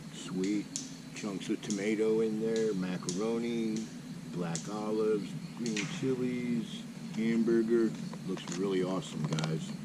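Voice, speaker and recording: A man's fairly low voice at a fairly slow pace, with long, frequent pauses, audible room echo and noticeable background noise. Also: ordinary pitch variation. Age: 60s. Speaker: motorcycle camping vlogger; Marine veteran. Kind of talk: casual vlog talk to camera. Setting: outdoors at campsite.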